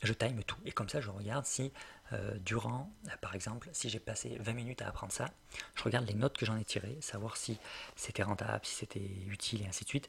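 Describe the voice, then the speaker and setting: A man speaks at a fairly quick pace with a medium pitch and vocal fry. His pitch varies in an ordinary way. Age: 20s. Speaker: web entrepreneur and learning podcaster. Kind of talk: solo podcast monologue, tutorial.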